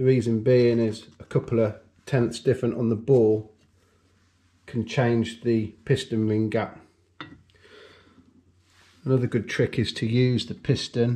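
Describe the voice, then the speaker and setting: A man talks at a fairly slow pace in a somewhat breathy voice. His intonation is monotone and flat, with long, frequent pauses. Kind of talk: tutorial. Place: workshop. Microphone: camera far.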